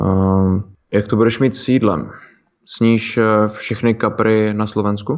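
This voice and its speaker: A man's fairly low voice at a fairly slow pace, fairly even in intonation, broken by long, frequent pauses. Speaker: fitness podcast co-host. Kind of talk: casual chat.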